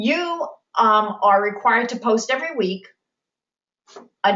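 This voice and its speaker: A woman speaks at a moderate pace with medium pitch. Hers is an unremarkable speaking voice. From New York. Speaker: college instructor. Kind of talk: online class lecture. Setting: video conference.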